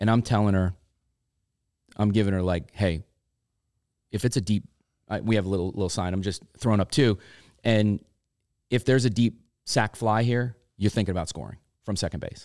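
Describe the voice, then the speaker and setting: A man talks at a fairly quick pace and a fairly low pitch, with fairly even intonation and long, frequent pauses. The sound is dry and close with no echo, on a very clean recording with a silent background. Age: 50s. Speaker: softball podcast co-host and coach. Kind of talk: casual chat.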